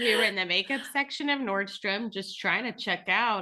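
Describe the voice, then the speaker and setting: Over noticeable background noise, a woman talks at a moderate pace with ordinary pitch variation. Her tone is animated. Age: 30s. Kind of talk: casual chat.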